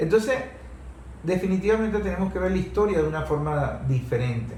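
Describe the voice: A man with a dark, mellow tone and a high pitch speaks at a moderate pace. His intonation is lively, and the room has an audible echo.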